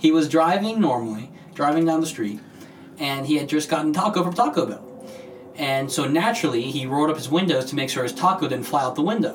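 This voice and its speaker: A man's fairly high voice at a very fast pace, with noticeable background noise and audible room echo. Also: lively intonation. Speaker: podcast host. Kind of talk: casual chat.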